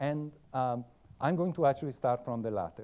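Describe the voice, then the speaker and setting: This man has an Italian accent and a fairly high pitch. He speaks at a fairly quick pace. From Italy. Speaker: computer science professor. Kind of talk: lecture. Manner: halting, many fillers.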